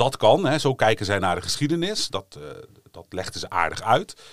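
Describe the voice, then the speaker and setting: At a moderate pace, a man with an ordinary speaking voice shows ordinary pitch variation in a very clean recording with a silent background. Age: 40s. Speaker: history lecturer. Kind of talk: casual educational podcast chat.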